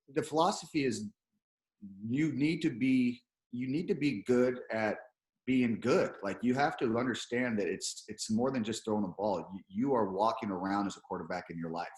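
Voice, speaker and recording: A man's medium-pitched voice carries lively intonation as he talks. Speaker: quarterback coach. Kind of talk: interview. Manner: fast.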